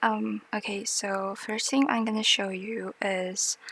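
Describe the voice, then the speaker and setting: Fairly slow speech is delivered in a non-native accent. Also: woman. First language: not English. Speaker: tutorial maker. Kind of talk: tutorial. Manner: hesitant, many fillers.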